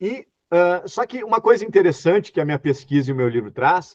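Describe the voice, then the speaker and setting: Recorded dry and close with no echo, a man with a high pitch talks at a fairly quick pace with lively intonation. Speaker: historian lecturer. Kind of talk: online lecture. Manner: fast.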